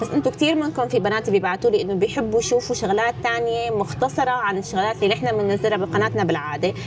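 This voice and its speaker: A woman in a Damascus accent, fairly high-pitched with very wide pitch swings, at a very fast pace over music in the background. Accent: Damascene Syrian Arabic. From Syria, Damascus (Midan). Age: 20s. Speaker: YouTuber, vlogger. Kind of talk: casual Q&A vlog. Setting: indoors, rainy day by a fire.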